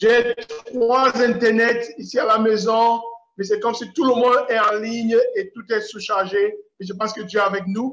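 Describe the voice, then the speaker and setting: Here a man speaks at an extremely high pitch. His delivery is fairly slow, with fairly even intonation. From Cameroon. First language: English (speaking French). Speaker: preacher. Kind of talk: lecture. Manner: halting. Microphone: unstable internet connection.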